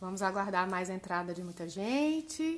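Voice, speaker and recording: A woman talks in a soft-spoken way at a fairly slow pace. Her pitch sits in the medium range. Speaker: live stream host. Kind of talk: casual chat.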